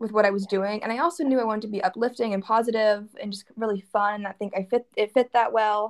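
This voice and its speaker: Very fast speech from a woman with a fairly high pitch and ordinary pitch variation, in a dry, close sound with no echo. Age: 20s. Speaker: clothing entrepreneur. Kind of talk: casual interview chat.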